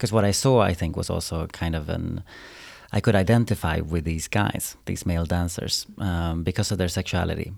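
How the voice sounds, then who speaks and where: With a Swedish accent, a man speaks at a very deep, low pitch and moderate pace, ordinary pitch variation, on a very clean recording with a silent background. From Sweden, Umeå. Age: 30s. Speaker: choreographer. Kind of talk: interview.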